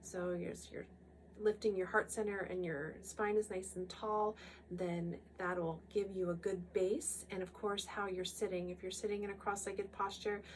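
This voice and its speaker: This woman's voice sits in a middle register, flat and monotone, moving at an even tempo. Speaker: Kundalini yoga instructor. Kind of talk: guided meditation wrap-up talk. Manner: hesitant, many fillers; calm, gentle.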